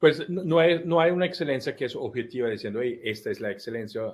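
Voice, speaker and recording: A man talks at a fairly quick pace with an Italian accent. His intonation is lively. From Italy. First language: Italian (speaking Spanish). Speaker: life coach. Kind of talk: interview. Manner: halting.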